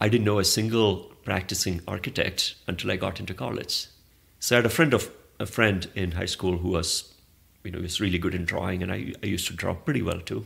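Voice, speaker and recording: A man with a Keralan accent and a very deep, low pitch speaks at a fairly quick pace. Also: ordinary pitch variation. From southern India, Kerala. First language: Malayalam. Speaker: arts organizer and architect. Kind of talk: interview. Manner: halting, with false starts and fillers.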